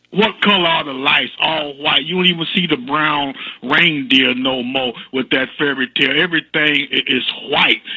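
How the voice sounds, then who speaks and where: A man with a fairly high voice talks in an animated tone at a moderate pace. Noticeable background noise runs behind him. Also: ordinary pitch variation. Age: 60s. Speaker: caller. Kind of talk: call-in comment. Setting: phone call. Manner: halting, repeats words.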